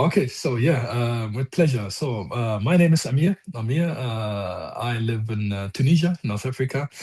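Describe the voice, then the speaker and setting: A man's medium-pitched, dark, mellow and somewhat breathy voice with a German accent, lively intonation, moderate pace and hardly any pauses. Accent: German accent, can't lose it. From Germany. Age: 40s. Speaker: car coder and online group admin. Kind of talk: casual podcast chat. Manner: halting, many fillers.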